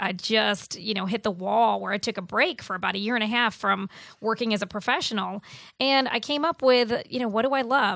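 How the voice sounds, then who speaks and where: A woman with an American accent and an unremarkable speaking voice, fairly high in pitch with ordinary pitch variation, at a moderate pace on a very clean recording with a silent background. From Buffalo, New York. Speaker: fitness coach and business owner. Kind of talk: radio interview. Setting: radio studio.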